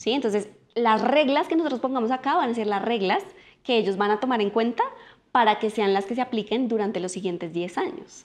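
A woman with a fairly high pitch talks at a fairly quick pace, her intonation lively. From Colombia. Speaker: political scientist and life coach; podcast guest, coach. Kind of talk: casual interview conversation. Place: home room.

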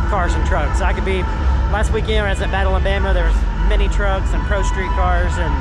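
Loud music plays in the background as a man talks at a fairly quick pace, his sound dry with no echo. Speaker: car show vlogger. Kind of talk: casual vlog chat. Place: hall. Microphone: phone near.

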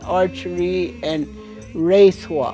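A woman talks in a very deep, low voice. Faint music plays in the background. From Mescalero, New Mexico. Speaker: senior athlete, archer. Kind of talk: interview answer. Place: home room.

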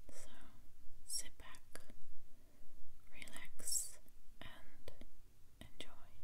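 A woman whispers. She goes at a very slow pace. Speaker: ASMR creator. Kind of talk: ASMR joke reading. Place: home room.

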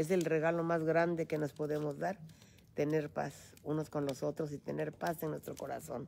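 Soft-spoken and very deep in pitch, a woman talks at a moderate pace over light background noise. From Mexico, Michoacán. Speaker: host's mother. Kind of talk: casual chat. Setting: outdoors. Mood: warm, reflective about healing. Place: hall. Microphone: phone near.

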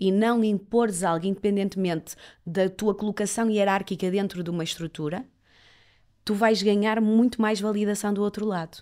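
A woman in a plain, everyday voice speaks at a moderate pace, her medium pitch moving with ordinary variation, on a very clean recording with a silent background. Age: 30s. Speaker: reporter and TV presenter, agency owner. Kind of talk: interview conversation.

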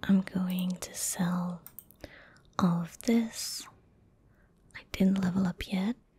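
Very slowly, a woman speaks soft-spoken and somewhat breathy, in a dark, mellow tone. Her intonation is monotone and flat, and the sound is dry with no echo. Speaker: gaming video creator. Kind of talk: casual gameplay commentary. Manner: soft-spoken, quiet ASMR voice. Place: home room.

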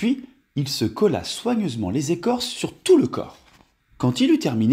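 The surroundings are quiet. What we hear is a natural reading voice.

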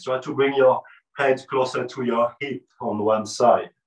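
This is a man with an ordinary speaking voice and medium pitch. He speaks at a fairly slow pace. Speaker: yoga teacher. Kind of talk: guided meditation. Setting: video session, teacher on camera. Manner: slow, calm, soothing; soft-spoken, gently instructive.

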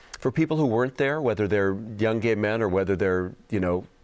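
With a plain, everyday voice, a man speaks at a fairly low pitch with ordinary pitch variation. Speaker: guest. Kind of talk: interview answer. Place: studio. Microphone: lapel.

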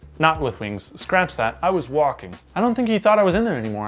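Faint music sits in the background. Over it, a man talks. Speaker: vlogger. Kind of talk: casual storytime vlog chat. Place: home room. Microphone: camera far.

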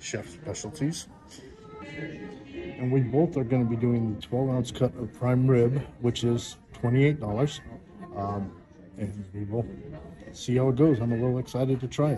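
At a moderate pace, the speaker leaves long, frequent pauses, with ordinary pitch variation and music in the background. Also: man. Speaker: restaurant reviewer. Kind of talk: casual vlog commentary. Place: cafe. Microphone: phone near.

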